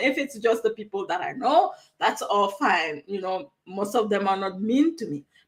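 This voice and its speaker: Spoken at a moderate pace with a strong West African accent. The pitch swings very widely. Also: woman. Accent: heavy West African. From Togo, West Africa. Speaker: online coach. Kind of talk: live stream talk. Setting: live stream from a new room. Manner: animated, conversational with frequent fillers.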